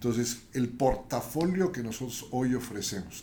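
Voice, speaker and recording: Somewhat breathy and at a medium pitch, a man speaks at a fairly slow pace with ordinary pitch variation amid audible room echo. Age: 60s. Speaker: entrepreneur. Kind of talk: interview.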